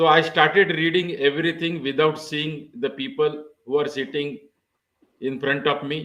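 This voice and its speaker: A man with a Marathi accent, fairly high in pitch, at a moderate pace. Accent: Indian English, Marathi. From India, Maharashtra. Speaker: pharmacy professor. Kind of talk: interview.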